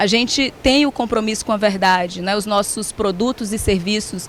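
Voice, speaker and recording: Using a Ceará accent, a woman talks at a moderate pace with a fairly high pitch and fairly even intonation. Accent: Ceará (northeastern Brazilian). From Brazil, Ceará. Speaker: HR executive. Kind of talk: conference talk.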